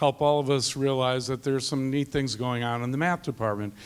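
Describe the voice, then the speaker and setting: At a moderate pace, a man talks in a normal speaking voice. His pitch is medium and his intonation fairly even. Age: 60s. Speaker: math teacher. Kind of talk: panel discussion.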